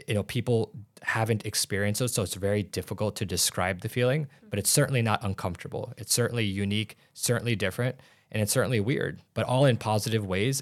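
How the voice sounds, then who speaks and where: On a very clean recording with a silent background, a man with a Midwestern American accent talks at a very fast pace, with a fairly low pitch and ordinary pitch variation. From Illinois, US Midwest. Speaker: doctor and aesthetics businessman. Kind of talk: interview.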